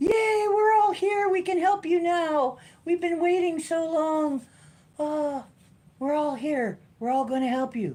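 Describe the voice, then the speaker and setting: A high, put-on character voice delivers the words at a fairly slow pace. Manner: cheerful, eager.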